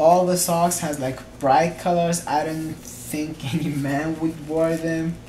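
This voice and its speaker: A man with a non-native accent and a fairly high pitch talks at a fairly slow pace with fairly even intonation. Noticeable background noise and audible room echo are present. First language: not English. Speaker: vlogger. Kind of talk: product unboxing review. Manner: casual, hesitant.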